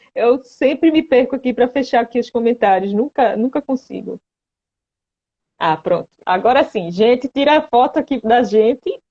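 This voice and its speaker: With a Pernambuco accent, a woman speaks at a moderate pace in a high voice with lively intonation. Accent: Pernambuco accent, noticeable. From Recife, Pernambuco, Brazil. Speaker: patient advocate, live-stream host. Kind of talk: live-stream interview. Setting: online live stream.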